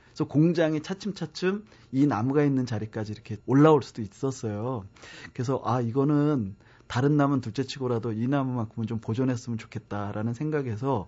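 Here is a man with a plain, everyday voice at a medium pitch. He talks at a fairly quick pace with ordinary pitch variation. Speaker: tree columnist and author. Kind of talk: interview. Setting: studio.

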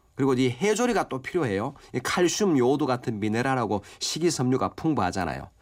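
His pitch swings very widely as the man speaks at a very fast pace. His voice sits at a medium pitch. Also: hardly any pauses. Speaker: professor of Korean medicine. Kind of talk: expert health advice. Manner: formal, explanatory.

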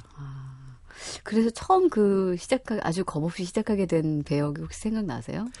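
Here is a woman with an unremarkable speaking voice and fairly low pitch. She talks at a moderate pace with lively intonation. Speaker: radio host. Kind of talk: radio show interview and hosting. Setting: studio.

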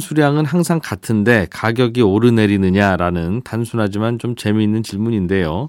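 A man speaks at medium pitch and a moderate pace, with hardly any pauses. The recording is very clean, with a silent background. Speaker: radio host. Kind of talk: radio economics news talk. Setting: studio.

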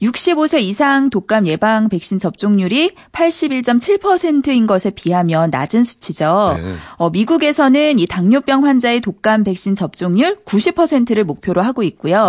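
Speaking very slowly with hardly any pauses, a woman uses a fairly high pitch that swings very widely. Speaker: radio news reporter. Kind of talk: news segment. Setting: studio.

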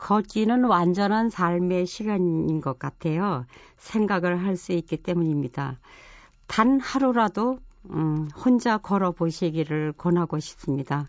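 Speaking at a very slow pace, a woman uses lively intonation in a fairly low pitch. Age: 70s. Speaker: long-distance walker and retired teacher. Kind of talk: lecture. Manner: casual conversational.

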